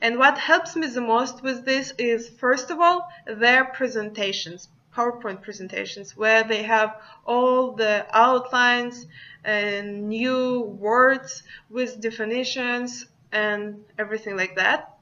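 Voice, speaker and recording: Very slowly, a woman with a Russian accent speaks in a fairly high, bright, sharp voice. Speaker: student. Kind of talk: class presentation.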